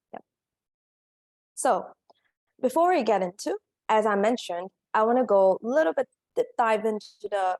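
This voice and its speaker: In a Korean accent, a woman speaks at a fairly high pitch and moderate pace, with lively intonation, very even loudness and long, frequent pauses. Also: dry, close sound with no echo. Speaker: career coach. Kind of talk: summit presentation.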